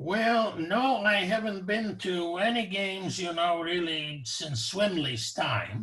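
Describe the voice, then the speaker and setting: A man speaks at a very slow pace with a bright, sharp tone. His intonation is lively. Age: 80s+. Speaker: professor emeritus and Holocaust survivor. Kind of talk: casual interview conversation. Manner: hesitant, many fillers.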